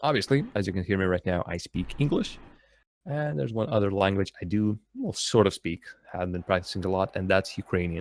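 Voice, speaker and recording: With a Russian accent, a man of fairly low pitch talks at a fairly quick pace with ordinary pitch variation, his sound dry and close with no echo on a very clean recording with a silent background. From Latvia. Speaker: esports commentator. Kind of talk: live commentary.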